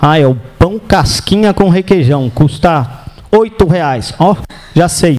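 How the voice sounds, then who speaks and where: Against noticeable background noise, a man with a high pitch speaks at a fairly slow pace. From São Paulo, Brazil. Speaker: real estate sales trainer. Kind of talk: lecture. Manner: animated.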